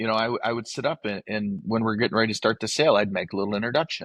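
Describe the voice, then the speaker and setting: A man with an American accent speaks at medium pitch, the sound dry and close with no echo against a quiet background. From northern Michigan. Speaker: livestock auctioneer. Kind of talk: interview answer.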